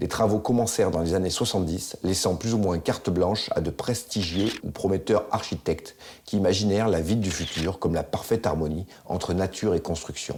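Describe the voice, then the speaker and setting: A man's very deep, low voice at a fairly quick pace, ordinary pitch variation and hardly any pauses. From France, Isère (L'Isle-d'Abeau). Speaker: documentary maker. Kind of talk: scripted narration.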